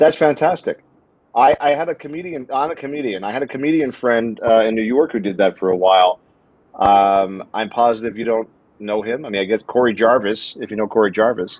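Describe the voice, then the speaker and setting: A man with an American accent in a normal speaking voice: medium pitch, ordinary pitch variation, fairly quick speed. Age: 50s. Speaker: comedian, talk streamer. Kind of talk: casual interview.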